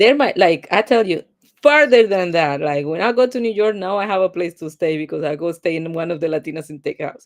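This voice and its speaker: Speaking with a Spanish accent, a woman talks at a fairly quick pace. Her pitch is fairly low and her intonation lively. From Colombia. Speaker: tech executive, product manager. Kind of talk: interview.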